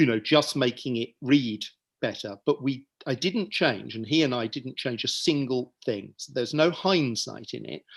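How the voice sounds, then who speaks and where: A man with vocal fry talks at medium pitch and a moderate pace with ordinary pitch variation and big swings in loudness over a quiet background. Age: 60s. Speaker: author. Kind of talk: reading aloud; casual chat. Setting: video call.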